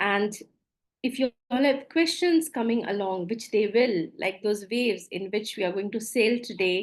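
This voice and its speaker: A woman speaks with an Indian accent. Her pitch is fairly high, with ordinary variation. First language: Maithili. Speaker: coach, former doctor. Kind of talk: webinar presentation. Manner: halting.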